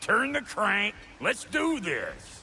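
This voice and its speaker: A man puts on a gruff character voice pitched extremely high, with clear background noise behind him. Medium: video game. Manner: folksy, gruff drawl.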